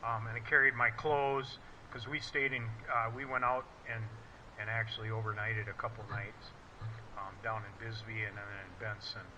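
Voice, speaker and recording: With an American accent and a bright, sharp tone, a man speaks at a medium pitch and moderate pace, his intonation fairly even, with long, frequent pauses and audible room echo. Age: 60s. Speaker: motorcycle rider and mechanic. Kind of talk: casual gear review video. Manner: halting, with many fillers.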